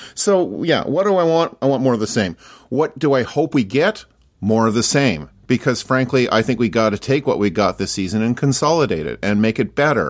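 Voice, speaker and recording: On a very clean recording with a silent background, a man speaks with a Canadian accent and vocal fry. His medium pitch swings very widely at a fairly quick pace. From Canada. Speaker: podcaster. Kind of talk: casual chat. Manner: halting.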